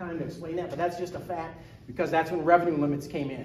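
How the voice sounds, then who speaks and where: Over noticeable background noise and audible room echo, a man speaks very fast in a high voice with fairly even intonation. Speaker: school district business director. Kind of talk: presentation.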